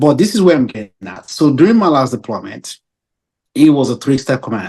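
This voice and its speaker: Here a man talks at a fairly quick pace. He speaks with an African accent. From Nigeria. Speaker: naval officer. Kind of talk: interview. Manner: halting.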